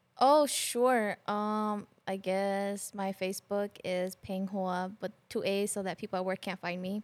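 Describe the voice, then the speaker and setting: In a plain, everyday voice, a woman of medium pitch talks at a fairly slow pace with hardly any pauses, the sound dry and close with no echo. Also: fairly even intonation. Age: 30s. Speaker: podcast guest sharing relationship advice. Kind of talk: casual chat.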